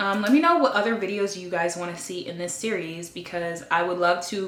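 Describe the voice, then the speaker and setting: Noticeable background noise and audible room echo surround a woman speaking fairly quickly in a fairly low voice. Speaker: lifestyle vlogger giving dating advice. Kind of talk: casual monologue to camera. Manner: loud; animated.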